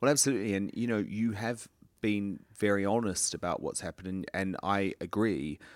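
A man with a plain, everyday voice talks at a fairly quick pace in a fairly low pitch with ordinary pitch variation, recorded very cleanly against a silent background. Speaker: podcast interviewer. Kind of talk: interview. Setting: studio.

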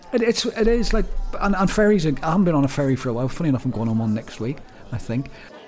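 Over noticeable background noise, a man talks very fast at a fairly high pitch, with very wide pitch swings. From Northern Ireland. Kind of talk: casual chat. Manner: fast talker when using natural accent.

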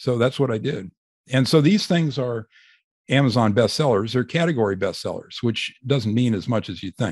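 An ordinary speaking voice moves at a moderate pace with lively intonation against a quiet background. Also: man, medium pitch for a man. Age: 60s. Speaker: physician and author. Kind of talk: interview.

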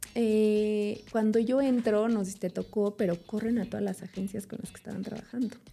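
A woman with a normal speaking voice talks at a moderate pace and a fairly high pitch. Her loudness swings widely. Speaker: food engineer and nutrition communicator. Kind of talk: interview.

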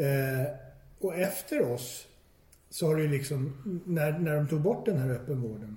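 A man's fairly high-pitched, somewhat breathy voice with a dark, mellow tone and ordinary pitch variation, at a moderate pace, with audible room echo. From Stockholm, Sweden. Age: 40s. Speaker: recovering addict. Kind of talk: personal testimony. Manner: halting, repetitive.

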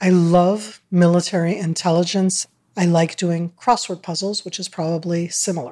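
Using fairly even intonation, a woman with an American accent speaks at a moderate pace with a fairly low pitch and a dark, mellow tone. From Northern California, US. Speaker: retired army colonel and former government media advisor. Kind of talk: interview.

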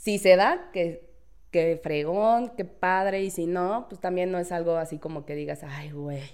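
A woman speaks at a fairly slow pace with ordinary pitch variation and big swings in loudness. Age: 30s. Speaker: legal office assistant. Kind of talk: casual chat.

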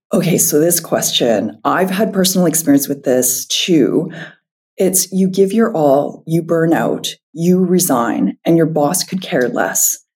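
A woman's fairly low, somewhat breathy voice at a fairly slow pace, with lively intonation and very even loudness. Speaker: podcast host. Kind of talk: interview.

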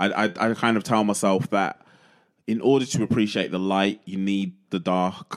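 On a very clean recording with a silent background, a man speaks at a moderate pace in a fairly low pitch. He has fairly even intonation and a normal speaking voice. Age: 30s. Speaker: DJ and former stand-up comedian. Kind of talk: casual chat.

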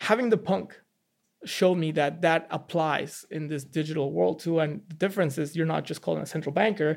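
With vocal fry and a Mexican accent, a man speaks at a fairly quick pace with ordinary pitch variation on a very clean recording with a silent background. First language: Spanish. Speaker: NFT investor and former finance trader. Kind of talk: podcast interview. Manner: casual, conversational.

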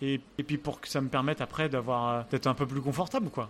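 Fairly quick speech from a man, fairly high in pitch, with ordinary pitch variation. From France, Angers (Pays de la Loire). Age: 30s. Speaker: restaurant owner and pastry chef. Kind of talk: interview. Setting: restaurant during service. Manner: halting.

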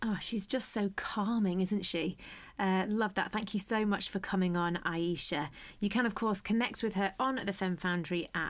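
This woman has a normal speaking voice with medium pitch, ordinary pitch variation, a moderate pace and very even loudness, recorded very cleanly against a silent background. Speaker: podcast host. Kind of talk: interview conversation.

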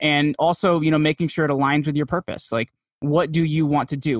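Speaking fairly quickly with an American accent, a man has a fairly high pitch. The sound is dry and close with no echo, over a quiet background. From New Jersey. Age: 30s. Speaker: podcast host and PR agency founder. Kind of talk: interview conversation.

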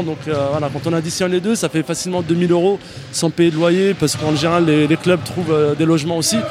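Over noticeable background noise, a man with a high voice talks at a fairly quick pace in a fairly even intonation. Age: 30s. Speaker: wheelchair basketball player. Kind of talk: interview.

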